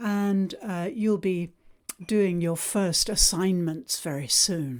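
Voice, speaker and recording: A woman with a British accent, medium-pitched, at a very slow pace, with ordinary pitch variation. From Britain. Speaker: English teacher. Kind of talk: online language lesson. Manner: slow, clear, for learners.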